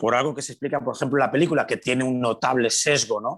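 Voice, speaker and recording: Over a quiet background, a man with a normal speaking voice talks at medium pitch with fairly even intonation. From Galicia, Spain (Pontevedra). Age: 50s. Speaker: sports radio broadcaster. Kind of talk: casual interview chat.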